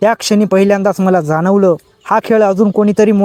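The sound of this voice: The voice is unforced, as if reading. Its intonation stays fairly even.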